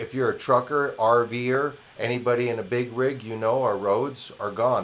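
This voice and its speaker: A man with an American accent at medium pitch and moderate pace, ordinary pitch variation, and noticeable background noise. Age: 60s. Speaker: independent news commentator. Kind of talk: opinion monologue. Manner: animated.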